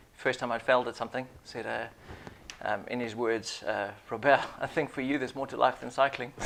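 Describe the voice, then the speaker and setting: Amid noticeable background noise, a man at a medium pitch speaks at a fairly quick pace in a monotone, flat intonation. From Zimbabwe. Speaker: business consultant, former Royal Marine commando. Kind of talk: interview. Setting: studio.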